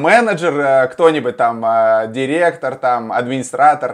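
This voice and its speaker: A plain, everyday voice from a man, fairly high in pitch, at a fairly slow pace. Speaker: interviewer, radio host. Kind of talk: interview, host questions.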